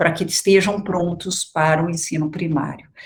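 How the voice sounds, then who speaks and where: Somewhat breathy, a woman's voice comes through with audible room echo. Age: 60s. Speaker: education researcher, guest lecturer. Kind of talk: lecture.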